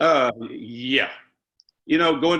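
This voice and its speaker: A man with a Southern US accent, bright and sharp in tone, with fairly even intonation. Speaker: retired construction worker. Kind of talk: testimony. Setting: video call.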